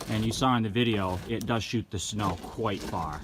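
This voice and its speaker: A man speaks in a New England accent, his pitch fairly low with ordinary variation. Noticeable background noise can be heard. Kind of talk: product review talk to camera.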